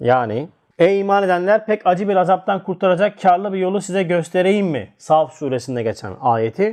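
A quiet background behind a man's high voice. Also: moderate pace. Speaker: religious teacher. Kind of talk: religious text study lesson. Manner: halting when reading archaic text.

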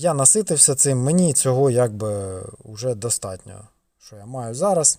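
Medium pitch and a dark, mellow tone from a man, on a very clean recording with a silent background. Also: lively intonation, fairly slow pace. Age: 30s. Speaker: car vlogger. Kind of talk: casual vlog. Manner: casual.

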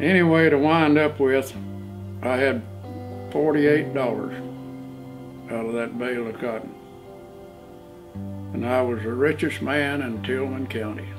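Over clear music in the background, a man with an American accent talks at a fairly slow pace, with long, frequent pauses and ordinary pitch variation. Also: medium pitch for a man. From Oklahoma. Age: 80s+. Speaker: farmer. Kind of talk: interview answer. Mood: warm, reminiscent. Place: home room.

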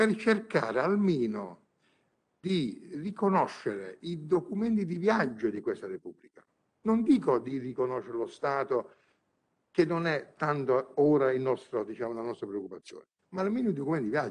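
This man's voice sits fairly high and swings very widely in pitch. He keeps a moderate pace. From southern Italy, Bari province (Puglia); Puglia, Italy. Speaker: honorary ambassador; conference guest. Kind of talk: conference speech. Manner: impassioned. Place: hall. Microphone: podium.

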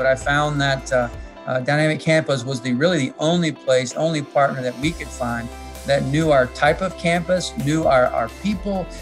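Clear music plays behind a man who talks at a moderate pace. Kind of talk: interview answer. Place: office. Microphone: video call.

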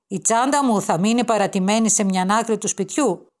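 A woman with an ordinary speaking voice talks at a moderate pace, her pitch fairly high. Her intonation is lively, and the recording is very clean with a silent background. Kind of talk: literary audiobook reading of a children's school story, read aloud. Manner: gentle, warm, wistful storytelling pace with soft emotion.

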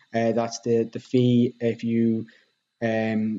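This man's tone is dark and mellow. His intonation stays monotone and flat. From Ireland. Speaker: real estate agent. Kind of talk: tutorial. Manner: hesitant with fillers. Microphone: webcam.

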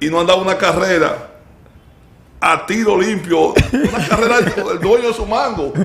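A man with a high voice speaks at a moderate pace with ordinary pitch variation, leaving long, frequent pauses over light background noise. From Dominican Republic. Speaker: sports show host. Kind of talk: casual chat. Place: studio. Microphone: studio mic.

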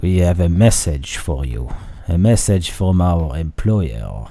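A man puts on a gruff character voice, very deep and low in pitch. He delivers it at a fairly slow pace with lively intonation. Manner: menacing.

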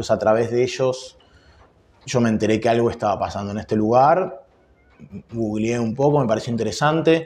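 Talking at a fairly quick pace with a Rioplatense accent, a man uses ordinary pitch variation and leaves long, frequent pauses. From Argentina, Buenos Aires. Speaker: jazz guitarist; interviewee. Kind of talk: interview. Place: office.

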